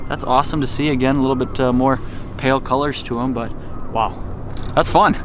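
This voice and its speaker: A man speaks with fairly even intonation. The sound is dry with no echo, and noticeable background noise is present. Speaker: fishing vlogger. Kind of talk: casual vlog chat. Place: boat.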